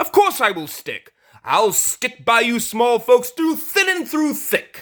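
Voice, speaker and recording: A man's put-on character voice, extremely high for a man, at a fairly slow pace. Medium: read story.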